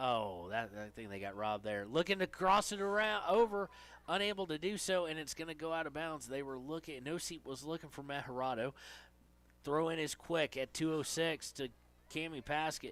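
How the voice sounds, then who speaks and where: A man with an Appalachian accent speaks at a fairly high pitch with lively intonation in a very clean recording over a silent background. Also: moderate pace. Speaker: sports play-by-play announcer. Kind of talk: live commentary.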